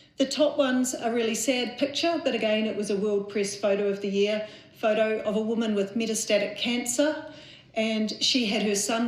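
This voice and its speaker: A woman talks at a moderate speed with ordinary pitch variation, with noticeable background noise and audible echo from the room. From New Zealand. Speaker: mental health charity chief executive. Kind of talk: conference talk. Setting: conference stage with audience.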